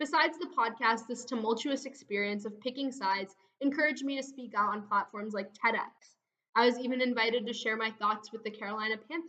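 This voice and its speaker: A woman's fairly high-pitched, normal speaking voice with an American accent, ordinary pitch variation and a fairly quick pace. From USA, childhood partly in India. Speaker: digital storyteller, podcaster. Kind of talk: scripted narration.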